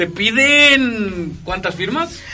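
Music plays in the background as a man uses a raised, projected voice with very wide pitch swings. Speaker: radio host. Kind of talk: casual chat.

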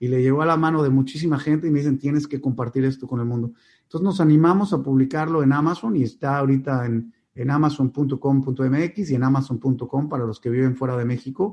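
The voice has a dark, mellow tone and moves at a fairly quick pace. The background is quiet. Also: man, medium pitch for a man. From Mexico, Mexico City and Monterrey. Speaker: company founder and CEO. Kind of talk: interview. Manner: animated.

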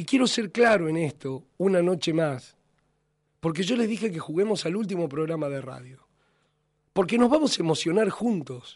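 Speaking with an Argentine accent, a man uses a high pitch and lively intonation. His pace is moderate. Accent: Argentine Spanish (Rioplatense). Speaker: radio host. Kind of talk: radio editorial monologue. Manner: impassioned.

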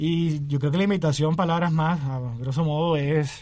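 This man has a fairly high, somewhat breathy voice with a dark, mellow tone. His intonation stays fairly even. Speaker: journalism student and writer. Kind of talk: interview.

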